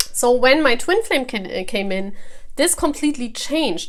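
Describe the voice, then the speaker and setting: A woman with a non-native accent speaks at a moderate pace. Her high-pitched voice has lively intonation. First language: not English. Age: 40s. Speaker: tarot reader. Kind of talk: casual talk to camera. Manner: halting.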